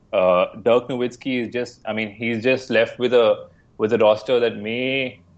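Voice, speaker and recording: In an Indian accent, a man speaks at a fairly slow pace. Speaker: basketball podcast co-host. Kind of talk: casual sports discussion.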